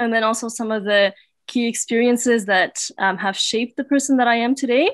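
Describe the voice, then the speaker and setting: Against a quiet background with dry sound and no echo, a woman with an unremarkable speaking voice talks at a moderate pace, her fairly high pitch carrying fairly even intonation. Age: 20s. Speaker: conference speaker. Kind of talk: personal talk to online audience. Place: home room. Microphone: webcam.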